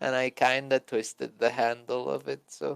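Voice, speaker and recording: A man is heard on a very clean recording with a silent background. The sound is dry and close, with no echo. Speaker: streamer. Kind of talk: casual chat. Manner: slower than his brother.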